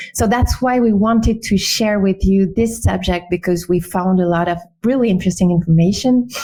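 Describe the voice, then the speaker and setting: Fairly even intonation in a French accent. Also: woman. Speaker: webinar host, UX designer. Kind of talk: webinar presentation. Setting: online webinar. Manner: hesitant with fillers.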